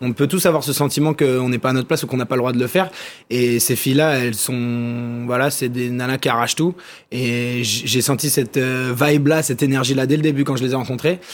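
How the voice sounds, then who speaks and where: A man speaks in a normal speaking voice at medium pitch. His pace is fairly quick and his intonation fairly even. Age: 20s. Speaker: documentary filmmaker. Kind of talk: TV interview. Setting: TV studio.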